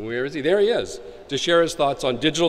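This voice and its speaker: A man is speaking. He has an American accent. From United States. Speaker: conference moderator. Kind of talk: event introduction. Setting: conference stage with audience. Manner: halting, many fillers.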